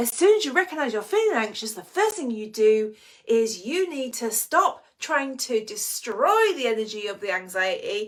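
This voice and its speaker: Here a woman speaks with an English accent. Her high pitch moves in very wide swings. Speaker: anxiety coach. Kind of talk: live online training. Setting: live stream with chat. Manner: animated.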